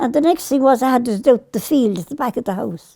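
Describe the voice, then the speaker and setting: A woman with an Irish accent talks at a moderate pace, the sound dry and close with no echo. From Ireland. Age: 80s+. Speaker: farmer. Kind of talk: interview answer.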